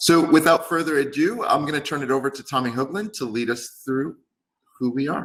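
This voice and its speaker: Fairly quick pace, an American accent and ordinary pitch variation. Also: man, fairly high pitch for a man. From New York. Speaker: company executive. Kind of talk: business presentation.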